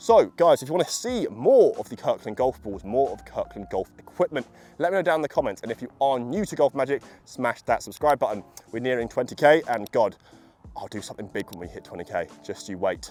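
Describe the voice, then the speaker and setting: A man with a British accent speaks in an enthusiastic tone at a fairly quick pace. His loudness swings widely. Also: dry, close sound with no echo. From UK. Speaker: golf equipment reviewer. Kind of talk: product review video. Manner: casual, enthusiastic.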